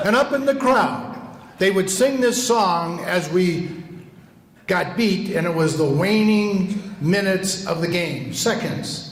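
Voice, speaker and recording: At a very slow pace, a man with a high pitch speaks with lively intonation. Noticeable background noise and audible room echo fill the recording. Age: 80s+. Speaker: retired politician. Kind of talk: roast response speech.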